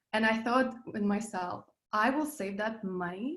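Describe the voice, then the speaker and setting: Speaking at a fairly slow pace in a Russian accent, the voice shows ordinary pitch variation and carries audible room echo. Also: woman. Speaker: business coach, passive income expert. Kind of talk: interview. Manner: animated.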